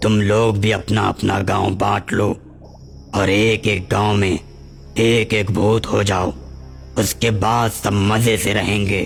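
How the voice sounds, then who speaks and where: A man puts on a character voice with a fairly low pitch. He speaks at a fairly slow pace while clear music plays in the background. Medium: audio drama. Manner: arrogant.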